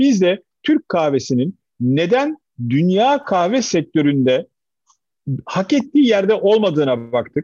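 A man talks with a high pitch and very wide pitch swings. His loudness stays very even throughout. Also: fairly slow pace. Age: 50s. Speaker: company chairman. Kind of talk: interview.

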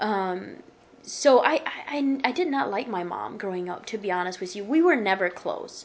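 At a moderate pace, a woman with an American accent speaks at a medium pitch with very wide pitch swings, over noticeable background noise. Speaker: author. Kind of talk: radio interview testimony.

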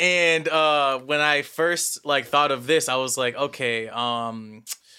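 A man with an American accent, a bright, sharp tone and fairly even intonation. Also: very clean recording, silent background. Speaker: music producer and English teacher. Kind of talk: casual chat.

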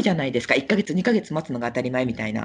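A woman speaks with a noticeable vocal fry. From Japan, Kagoshima (Kirishima). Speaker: Japanese expat living abroad. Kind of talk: casual interview.

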